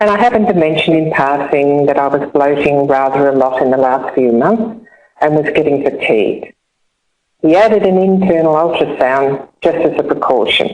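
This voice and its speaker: Speaking at a moderate pace, a woman with a very deep, low pitch uses lively intonation and very even loudness. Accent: Australian. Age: 70s. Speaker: cancer survivor and charity ambassador. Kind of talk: personal testimony. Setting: online webinar.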